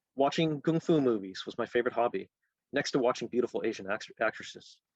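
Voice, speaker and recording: Captured with a dry, close sound and no echo, a man with a Canadian accent and an ordinary speaking voice talks at a fairly quick pace in a medium pitch with ordinary pitch variation. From Canada, Halifax, Nova Scotia. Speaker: author. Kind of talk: reading aloud.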